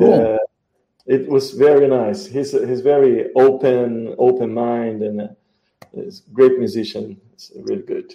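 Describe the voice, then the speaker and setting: A man speaks with a Portuguese accent at a fairly slow pace, his tone dark and mellow. His intonation is lively, and his loudness swings widely. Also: medium pitch for a man. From Brazil. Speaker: musician and music show host. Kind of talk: live interview.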